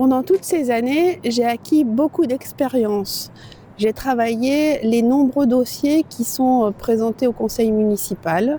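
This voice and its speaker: Over noticeable background noise, a woman with a high pitch talks at a very slow pace, with ordinary pitch variation and very even loudness. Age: 60s. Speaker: local election candidate. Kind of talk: campaign video statement. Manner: hesitant with fillers.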